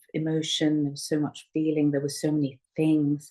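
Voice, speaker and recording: A woman's very deep, low pitch and dark, mellow tone at a moderate pace. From Kenya, Indian community. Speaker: writer and activist. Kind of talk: personal reflection on an online witnessing call. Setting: online group call. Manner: hesitant, many fillers.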